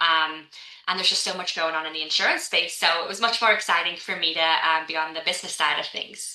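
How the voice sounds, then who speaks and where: A woman's very fast, fairly low-pitched speech in a Scouse accent, fairly even in intonation, with audible room echo and noticeable background noise. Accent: Scouse, still noticeable. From Liverpool, England. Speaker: insurance executive. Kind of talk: podcast interview. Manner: hesitant, many fillers.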